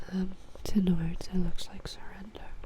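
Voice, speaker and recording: With noticeable background noise behind her, a woman whispers. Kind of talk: ASMR-style talk to camera about game factions. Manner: soft, whispering.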